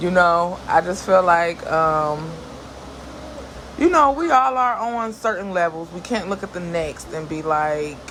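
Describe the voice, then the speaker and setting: A woman speaks in a fairly low voice with an animated tone and lively intonation. Noticeable background noise runs underneath. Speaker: vlogger. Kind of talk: casual talk to camera.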